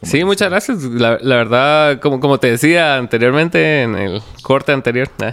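At a moderate pace, a man of medium pitch speaks with lively intonation in a plain, everyday voice on a very clean recording with a silent background. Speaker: podcast host. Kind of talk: casual interview.

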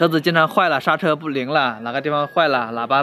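Noticeable background noise sits behind talking that moves fairly quickly. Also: man. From China, Hubei. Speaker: courier. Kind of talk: interview. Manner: halting, many fillers.

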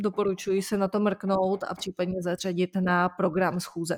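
Flat, monotone delivery at a fairly slow pace, in a very clean recording with a silent background and a dry, close sound free of echo. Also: woman. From Czech Republic. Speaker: lawyer, legal news podcast co-host. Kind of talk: conversational legal news discussion.

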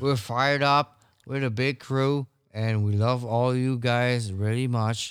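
A man with a French accent speaks at a fairly slow pace, his pitch medium and his intonation flat and monotone. The loudness stays very even on a very clean recording with a silent background. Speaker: podcast co-host. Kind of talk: casual banter chat.

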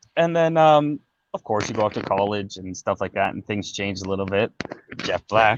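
An unremarkable speaking voice with a Canadian accent moves at a moderate pace with lively intonation, in a dry, close sound with no echo. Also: man, fairly low pitch for a man. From Ontario, Canada. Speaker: artist and former tribute singer. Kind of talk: casual interview.

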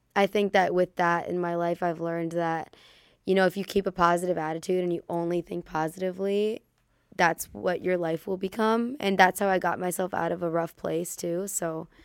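A woman with a normal speaking voice and an American accent talks at a moderate pace, her pitch fairly low and her intonation fairly even. The recording is very clean with a silent background, and the sound is dry and close with no echo. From Chicago area, US Midwest. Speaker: prelaw student, nonprofit founder. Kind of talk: casual interview chat. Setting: studio.

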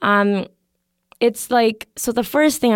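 A woman with a Canadian accent, an ordinary speaking voice, speaks at a moderate pace with ordinary pitch variation on a very clean recording with a silent background. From Canada, Calgary. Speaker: podcast guest. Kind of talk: casual chat.

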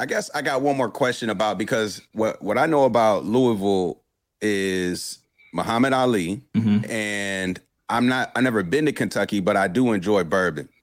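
This man has a normal speaking voice, fairly low in pitch, with ordinary pitch variation. He talks at a moderate pace and his loudness stays very even. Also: very clean recording, silent background. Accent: American. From Durham, North Carolina. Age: 30s. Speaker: podcast host. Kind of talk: interview. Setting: live stream.

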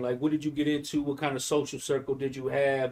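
This man talks at a fairly quick pace in a fairly high voice. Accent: Detroit. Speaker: podcast host. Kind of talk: casual chat, interview. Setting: live podcast, video. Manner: animated, casual, slangy.

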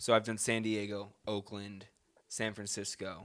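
With an American accent, a man speaks at a fairly low pitch with vocal fry and ordinary pitch variation. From US South (Charleston, South Carolina). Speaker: podcast co-host. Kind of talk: casual chat. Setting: studio.

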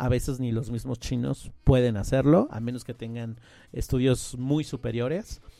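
Music plays behind a man speaking. His pitch is medium, with ordinary pitch variation. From Mexico City. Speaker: translator and interpreter. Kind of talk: interview.

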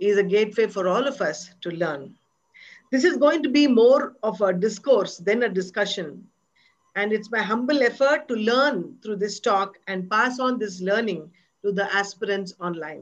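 In an ordinary speaking voice, a woman talks at a medium pitch and moderate pace with ordinary pitch variation, over a quiet background. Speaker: dancer and interviewer.

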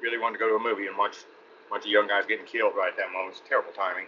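A man with a Texan accent. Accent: Texan Southern US. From Texas. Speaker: actor. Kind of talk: casual interview.

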